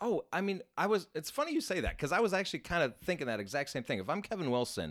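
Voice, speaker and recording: Very wide pitch swings and vocal fry run through this very fast speech on a very clean recording with a silent background. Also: man. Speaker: sports podcast co-host. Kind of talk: casual chat.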